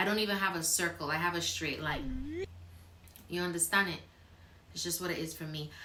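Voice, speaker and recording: Against noticeable background noise and audible room echo, a woman with a fairly low pitch speaks at a fairly quick pace with fairly even intonation and long, frequent pauses. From Barbados. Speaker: YouTuber. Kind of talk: casual chat.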